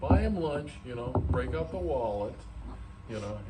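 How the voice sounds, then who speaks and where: Fairly low man's voice amid noticeable background noise and audible room echo. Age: 70s. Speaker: video host, slot car enthusiast. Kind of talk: casual chat. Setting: museum.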